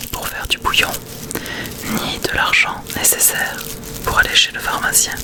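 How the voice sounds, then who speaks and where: Whispering in a soothing tone, a woman speaks against noticeable background noise. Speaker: ASMR creator. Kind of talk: audiobook-style reading of a classic tale. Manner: whispered, soft-spoken, slow, soothing.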